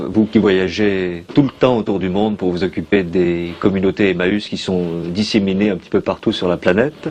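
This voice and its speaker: This man has an ordinary speaking voice. He talks at a moderate pace in a fairly low pitch. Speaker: interviewer. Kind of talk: interview question.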